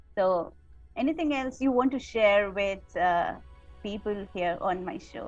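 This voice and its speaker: A woman's medium-pitched voice, fairly slow and with lively intonation, over music in the background. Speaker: podcast host, radio anchor. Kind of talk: podcast interview host.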